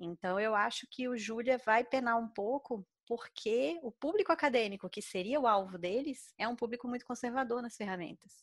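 In an unremarkable speaking voice, a woman talks at a moderate pace with hardly any pauses, fairly high pitch and ordinary pitch variation, in a very clean recording with a silent background and a dry, close sound with no echo. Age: 30s. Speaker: mathematician and open-source software developer. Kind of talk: casual podcast interview.

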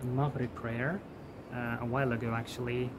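Medium pitch from a man at a moderate pace, little pitch movement, clear background noise.

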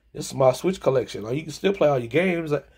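This man's voice is somewhat breathy. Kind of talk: casual vlog chat. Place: home room. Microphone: phone near.

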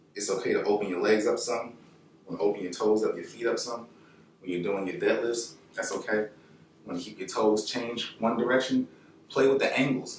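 There is light background noise and audible room echo. A man speaks at a fairly quick pace. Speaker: fitness instructor. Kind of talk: workout tutorial. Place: home room. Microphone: camera far.

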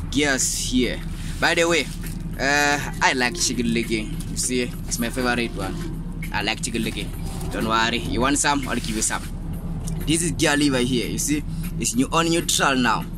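A man talks at a moderate pace with long, frequent pauses, the sound dry with no echo and music playing in the background. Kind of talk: tutorial. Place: car. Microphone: phone near.

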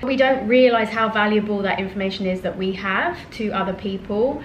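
Audible room echo along with light background noise. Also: woman. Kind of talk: casual vlog chat. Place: home room. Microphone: phone near.

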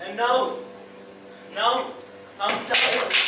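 Over music in the background, a man speaks in a raised, projected voice with monotone, flat intonation and audible room echo. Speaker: actor in religious play. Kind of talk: theatrical monologue. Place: stage. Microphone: camera far.

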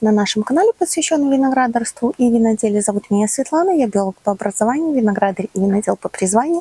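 A woman talks at a very fast pace. The sound is dry with no echo. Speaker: channel host. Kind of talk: casual vlog chat. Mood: warm friendly. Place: farm. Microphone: lapel.

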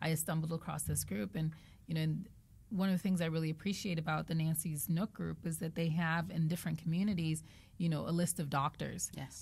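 Fairly quick and somewhat breathy, a woman with an American accent speaks at a very deep, low pitch with ordinary pitch variation. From Nigeria and Zambia, with years in the US. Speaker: patient advocate; podcast guest. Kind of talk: interview, personal testimony. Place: studio. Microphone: studio mic.

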